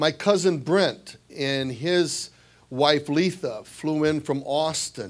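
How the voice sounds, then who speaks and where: A man speaks with a Midwestern American accent. His pitch variation is ordinary. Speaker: basketball coach. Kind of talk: speech at an awards dinner. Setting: banquet hall with audience.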